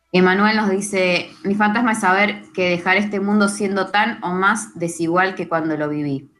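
Using hardly any pauses, a woman in a Rioplatense accent keeps a moderate pace. Her pitch is medium and her intonation fairly even. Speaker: radio co-host. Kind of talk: reading listener messages.

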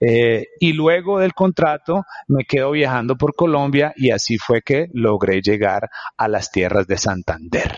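The sound is dry and close with no echo, and the loudness stays very even. A man speaks fairly slowly in a medium pitch with very wide pitch swings. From New York, Queens. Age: 40s. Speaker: entrepreneur. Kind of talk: interview. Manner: code-switching Spanish and English.

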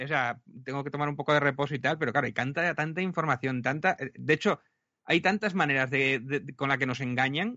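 Here a man uses a plain, everyday voice, fairly high in pitch, with ordinary pitch variation and a fairly quick pace. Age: 40s. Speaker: podcaster and youtuber. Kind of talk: interview.

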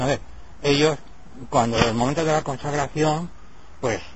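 Noticeable background noise sits behind a voice whose pitch varies in an ordinary way. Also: man. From Spain. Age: 70s. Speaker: Orthodox priest-monk. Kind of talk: interview. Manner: halting, with frequent repetitions.

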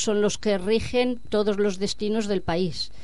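At a fairly slow pace, a woman speaks at a medium pitch. Room echo is audible. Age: old. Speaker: activist. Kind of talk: radio interview.

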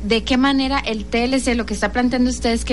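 A woman talks at a moderate pace with audible room echo and noticeable background noise around her. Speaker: youth radio host. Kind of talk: radio interview and talk show.

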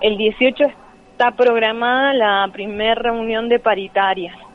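A woman's fairly high voice at a very slow pace with fairly even intonation, over noticeable background noise. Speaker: teacher union activist. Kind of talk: interview. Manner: hesitant, many fillers.

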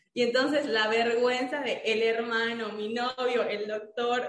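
Amid noticeable background noise and audible room echo, a woman talks fairly slowly at a fairly high pitch. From Mérida, Yucatán, Mexico. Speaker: dentist. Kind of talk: casual interview.

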